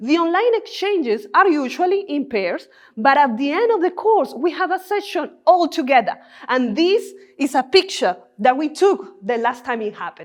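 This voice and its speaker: Someone with a Spanish accent speaks at a moderate pace, the pitch swinging very widely. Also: woman, high pitch for a woman. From Colombia. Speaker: doctoral researcher and Spanish teacher. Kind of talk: three-minute thesis talk.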